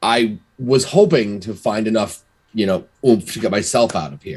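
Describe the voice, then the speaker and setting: A man puts on a raspy character voice at medium pitch. He delivers it at a moderate pace. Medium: actual play. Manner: halting, stammering.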